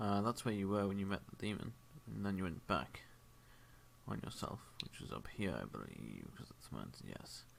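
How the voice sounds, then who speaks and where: A man mumbles at a moderate pace in a fairly low voice with ordinary pitch variation. He leaves long, frequent pauses. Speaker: game master. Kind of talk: tabletop role-play session. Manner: mumbling.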